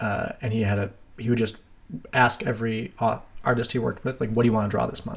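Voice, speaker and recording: A man with an American accent talks at a fairly quick pace. His medium pitch carries vocal fry. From Madison, Wisconsin, US Midwest. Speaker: comic artist and teacher. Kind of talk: casual conversation.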